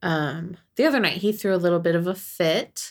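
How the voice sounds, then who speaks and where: A woman speaks at a fairly slow pace with a General American accent and vocal fry. Her pitch is fairly low, and the recording is very clean with a silent background. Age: 40s. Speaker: podcast co-host. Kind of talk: casual chat.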